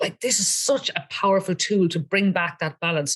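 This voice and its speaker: A woman talks at a fairly quick pace in an animated, somewhat breathy tone. Her pitch is medium with ordinary pitch variation. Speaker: water filter seller / wellness advocate. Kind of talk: casual interview with product demonstration. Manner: fast.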